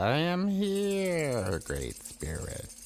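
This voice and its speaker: A cartoonish character voice at a middle pitch with clear background noise. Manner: composed, knowing.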